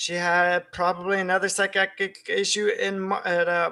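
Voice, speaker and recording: On a very clean recording with a silent background, a man with a high pitch projects a raised, bright and sharp voice at moderate pace in a flat monotone. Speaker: vlogger. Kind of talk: personal venting monologue. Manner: slurred speech; halting, disorganized.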